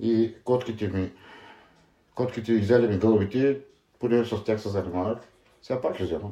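A man speaks at medium pitch in a dark, mellow tone with fairly even intonation and a moderate pace. Long, frequent pauses break his speech against a quiet background. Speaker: former thief, interviewee. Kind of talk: interview.

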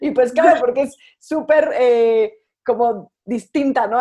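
A high-pitched woman with ordinary pitch variation against a quiet background. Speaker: podcast host. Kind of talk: interview.

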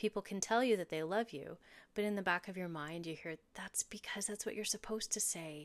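A woman talks at a fairly quick pace in an ordinary speaking voice with ordinary pitch variation. The recording is very clean, with a silent background. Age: 40s. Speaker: intuitive medium and podcast host. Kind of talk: reading aloud personal journal entries; casual podcast intro.

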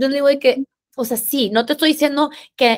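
Pitch shifts in an ordinary way. The pace stays moderate. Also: woman. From Mexico, Monterrey. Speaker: fitness influencer and app founder. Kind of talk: casual interview chat.

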